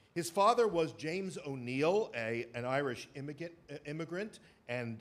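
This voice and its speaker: Fairly high in pitch, a man with a New York accent speaks with lively intonation. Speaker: theater presenter. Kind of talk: lecture to live audience. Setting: stage with audience. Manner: hesitant, many fillers.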